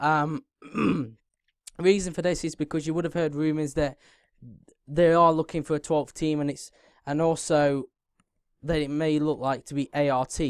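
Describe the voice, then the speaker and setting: Delivered at a moderate pace with a British accent, this very clean recording has a completely silent background. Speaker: F1 YouTuber. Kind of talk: casual video commentary. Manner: halting, fillers.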